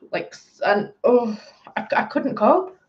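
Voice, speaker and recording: A woman with a northern English accent speaks at a high pitch and a fairly slow pace. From northern England, Bolton (Greater Manchester). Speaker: livestreamer. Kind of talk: casual chat. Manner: animated.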